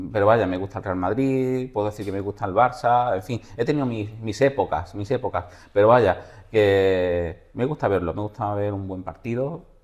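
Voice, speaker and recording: Speaking in an Andalusian accent at a moderate pace, a man uses a fairly low pitch with ordinary pitch variation. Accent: Malaga Spanish. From Málaga, Spain (Indian family). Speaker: business association president. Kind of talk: interview.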